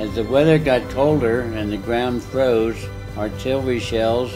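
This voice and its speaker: A man with an American accent talks at a fairly slow pace over music in the background. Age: 80s+. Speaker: war veteran. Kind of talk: personal memoir narration.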